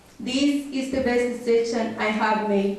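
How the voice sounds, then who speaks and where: A woman's high-pitched voice with a Honduran accent at a fairly slow pace, amid noticeable background noise and audible room echo. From Honduras. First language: Spanish. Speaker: language school graduate. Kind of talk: prepared graduation speech.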